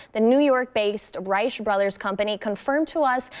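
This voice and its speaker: In a normal speaking voice, a woman talks fairly quickly at a fairly high pitch, with ordinary pitch variation. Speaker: TV news anchor. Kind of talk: TV news read.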